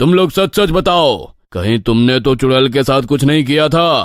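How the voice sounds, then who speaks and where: In a cartoonish character voice, a man talks at a moderate pace with lively intonation and very even loudness, on a very clean recording with a silent background. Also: medium pitch for a man. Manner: authoritative.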